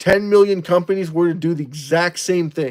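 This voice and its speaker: A man with a high voice for a man talks at a fairly quick pace. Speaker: crypto livestream host. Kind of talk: live stream chat reading viewer comments. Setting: live stream. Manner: fast.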